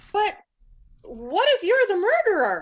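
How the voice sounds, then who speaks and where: Squeaky and extremely high-pitched, a woman's put-on character voice swings very widely in pitch at a fairly slow pace. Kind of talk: comic overacting. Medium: stage play. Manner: gasping, breathless, easily alarmed.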